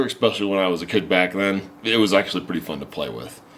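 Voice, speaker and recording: Over noticeable background noise, a man with a very deep, low pitch speaks at a very fast pace. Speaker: YouTube channel host reviewing an old computer game. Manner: casual, conversational.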